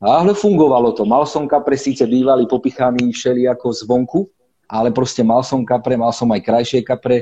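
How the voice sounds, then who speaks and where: The man's tone is dark and mellow, at a medium pitch with ordinary pitch variation. He speaks at a fairly quick pace. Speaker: competitive carp angler. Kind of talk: casual interview on a live stream.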